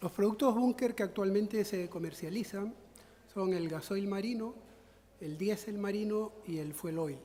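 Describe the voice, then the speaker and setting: A man with a high pitch talks at a fairly slow pace with ordinary pitch variation. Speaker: conference speaker. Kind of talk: lecture. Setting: conference with audience. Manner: halting.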